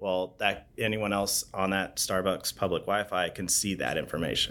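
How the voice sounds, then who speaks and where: A man with a West Coast accent, bright and sharp in tone, monotone with flat intonation, at a moderate pace, in a very clean recording with a silent background. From Oregon, US. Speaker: city information security manager. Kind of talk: interview.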